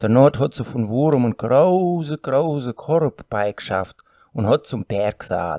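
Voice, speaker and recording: In a very clean recording with a silent background, a man speaks at a fairly slow pace. His intonation is lively. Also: dry, close sound with no echo. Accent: Volga German. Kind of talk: folk tale reading.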